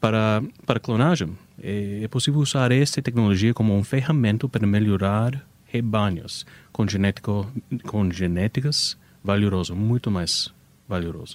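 A man with an American accent speaks at a fairly slow pace and fairly low pitch, with ordinary pitch variation. The recording is very clean, with a silent background. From United States. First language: English (speaking Portuguese). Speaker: animal cloning business owner. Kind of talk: radio interview. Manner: halting.

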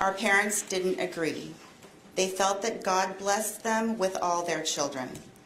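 Against noticeable background noise, a woman with medium pitch and ordinary pitch variation talks at a fairly slow pace. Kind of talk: court statement read aloud. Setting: courtroom.

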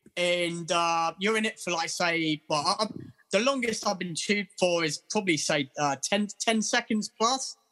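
Raising and projecting his voice, a man speaks at a fairly slow pace with ordinary pitch variation. His tone is bright and sharp, and the sound is dry and close with no echo. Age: 40s. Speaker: taxi driver in recovery from alcohol. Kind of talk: casual interview, personal testimony. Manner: halting, many fillers and repetitions.

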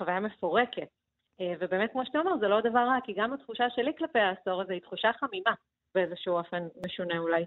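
Very fast and with lively intonation, a woman talks at a medium pitch. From Soviet Union, raised in Beersheba. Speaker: novelist. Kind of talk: radio interview.

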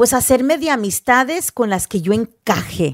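Very slow speech with lively intonation, dry and close with no echo. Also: woman. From US Northeast, New Jersey; teen years in Houston, Texas. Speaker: radio host and podcaster. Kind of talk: personal monologue podcast.

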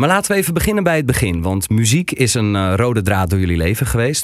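A man with a medium pitch races along at a very fast pace, his intonation lively. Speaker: podcast host. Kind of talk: casual interview. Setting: studio.

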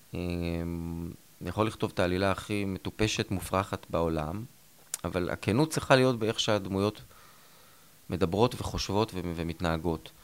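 Pausing long and often, a man talks in a very deep, low pitch with ordinary pitch variation. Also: moderate pace. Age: 50s. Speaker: TV writer and creator. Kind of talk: interview.

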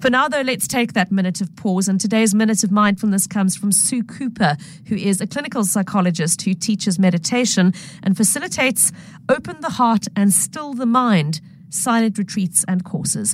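Speaking at a moderate pace with a medium pitch, a woman uses lively intonation in an unremarkable speaking voice. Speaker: podcast host. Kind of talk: podcast host introduction and outro, scripted.

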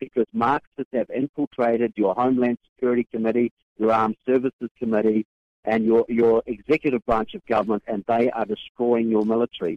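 The man talks at a fairly quick pace. His pitch sits in the medium range. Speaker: author and activist. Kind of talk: radio interview. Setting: phone call from conference. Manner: halting, filler words.

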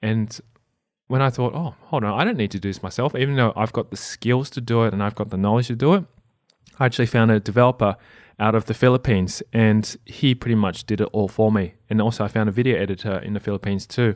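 Speaking at a very fast pace with an Australian accent, a man keeps a medium pitch and ordinary pitch variation, captured in a very clean recording with a silent background and a dry, close sound with no echo. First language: non-English (family language). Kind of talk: casual interview.

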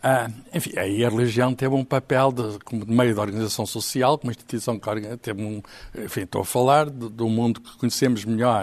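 A man with an ordinary speaking voice talks at a moderate pace and medium pitch, his intonation fairly even but his loudness swinging widely. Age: 60s. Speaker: writer. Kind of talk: panel discussion.

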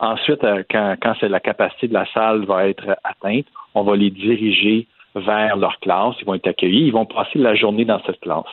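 A man talks at a moderate pace with fairly even intonation. His pitch is fairly low. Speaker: private school director. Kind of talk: interview. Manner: halting.

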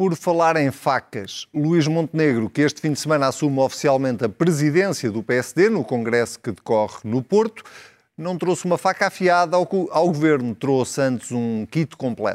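With an unremarkable speaking voice, a man speaks at a moderate pace and a fairly high pitch, his intonation lively and the sound dry and close with no echo. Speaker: TV debate moderator. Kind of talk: scripted narration; moderated political debate.

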